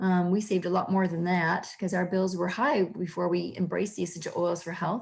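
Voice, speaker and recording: A woman's somewhat breathy voice at medium pitch. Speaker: holistic health practitioner. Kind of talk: recorded online class. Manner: fast.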